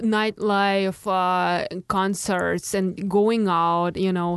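A woman with a Russian accent, medium pitch, at a very slow pace. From Russia, Moscow suburbs. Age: 20s. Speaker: artist. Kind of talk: interview. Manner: halting.

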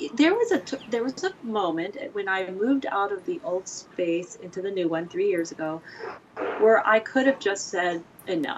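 A woman at medium pitch with lively intonation and a moderate pace, over noticeable background noise. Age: 50s. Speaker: print shop director and printmaker. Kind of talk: casual interview chat. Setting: studio, dog nearby. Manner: chatty, laughs often.

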